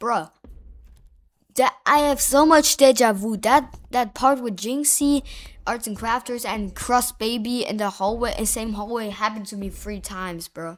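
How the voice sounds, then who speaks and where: On a very clean recording with a silent background, a woman talks at a moderate pace in a fairly high pitch, her animated tone carrying ordinary pitch variation and big swings in loudness. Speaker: gaming youtuber. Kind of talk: gameplay voice-over commentary.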